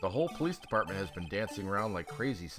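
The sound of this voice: The reading voice here sounds unforced.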